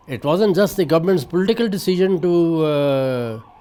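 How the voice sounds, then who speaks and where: Noticeable background noise sits behind a man with a high pitch. He speaks at a moderate pace with ordinary pitch variation. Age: 80s+. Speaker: journalist. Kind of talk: interview answer.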